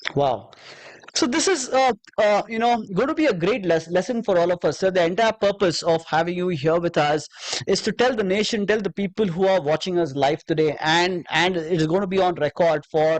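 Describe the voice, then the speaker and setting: A man speaks at a fairly quick clip in a high-pitched voice, his volume very even and the sound dry and close with no echo, over noticeable background noise. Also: ordinary pitch variation. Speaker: podcast host. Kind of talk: interview. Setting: live show. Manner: halting.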